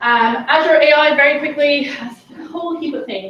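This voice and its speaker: A woman's high voice in an Irish accent, with ordinary pitch variation. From Ireland. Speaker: tech consultant and conference speaker. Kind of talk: conference talk. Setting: stage with audience. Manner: fast; animated.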